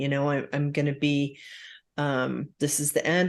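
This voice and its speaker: A woman with a very deep, low pitch speaks at a fairly slow pace over a quiet background. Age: 60s. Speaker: podcast host. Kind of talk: casual chat. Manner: hesitant, many fillers.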